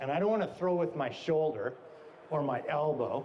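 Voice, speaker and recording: A man with a Canadian accent, fairly high pitch and a moderate pace, amid noticeable background noise. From Canada. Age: 60s. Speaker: fishing guide. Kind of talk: talk at a trade show. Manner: animated.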